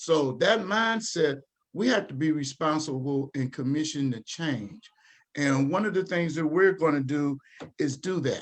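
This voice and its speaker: With an American accent, a man talks at a fairly slow pace. His is an unremarkable speaking voice with a fairly high pitch. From Dayton, Ohio, US Midwest. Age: 60s. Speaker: community organization leader. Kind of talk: panel presentation at online town hall. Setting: livestreamed town hall.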